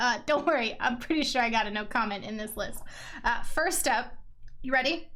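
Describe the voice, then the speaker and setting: A woman speaks in a high pitch with a bright, sharp tone and lively intonation. Audible echo fills the room. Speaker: podcast host. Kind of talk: casual interview. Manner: energetic.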